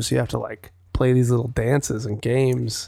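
A man with an American accent speaks in an ordinary speaking voice at a moderate pace, his medium pitch carried in fairly even intonation. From Wisconsin. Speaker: singer-songwriter and podcaster. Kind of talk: casual chat. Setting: home recording.

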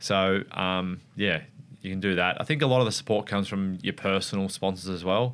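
A man with an Australian accent, very deep and low in pitch, ordinary pitch variation, a fairly quick pace, and a very clean recording with a silent background. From Australia, Wollongong NSW. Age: 30s. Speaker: motorcycle racer. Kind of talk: casual interview.

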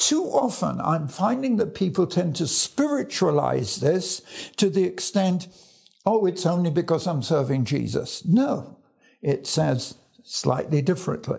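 In an English accent, a man speaks fairly slowly with a high pitch and lively intonation. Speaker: evangelist. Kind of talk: Bible teaching.

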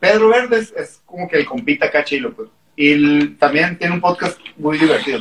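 A high-pitched male voice at a moderate pace. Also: lively intonation. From Mexicali, Mexico. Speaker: punk band member. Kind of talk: casual chat. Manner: loud. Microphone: far from the mic.

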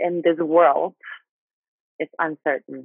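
A woman with a Thai accent speaks at a very slow pace. Her pitch is fairly low. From Thailand. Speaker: guest sharing life story. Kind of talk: testimony. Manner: halting.

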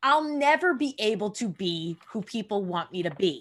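Spoken in a New York accent with lively intonation at a fairly slow pace. The recording is very clean, with a silent background. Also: woman. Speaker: podcast host and actor. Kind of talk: casual interview.

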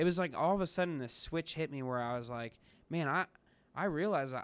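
Here a man with a normal speaking voice and an American accent speaks at a moderate pace, with a fairly high pitch and ordinary pitch variation. The recording is very clean, with a silent background. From US Midwest, Kansas City area. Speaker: new church staff member. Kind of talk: casual interview.

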